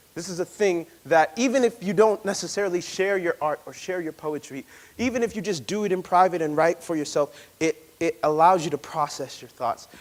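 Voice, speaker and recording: A man speaks loudly at a fairly quick pace, his pitch high for a man. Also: ordinary pitch variation. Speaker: poet and speaker leading a workshop. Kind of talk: workshop talk.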